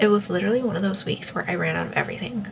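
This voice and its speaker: Over noticeable background noise, a woman talks in a relaxed tone. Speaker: lifestyle vlogger. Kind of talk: casual vlog talk. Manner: quiet, trying not to be loud; relaxed, casual.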